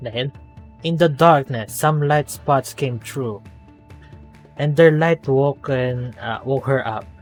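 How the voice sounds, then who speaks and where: Music plays behind a man with a non-native accent who speaks at a very slow pace. His pitch is medium, with ordinary variation. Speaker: gameplay commentator. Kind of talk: casual gameplay commentary.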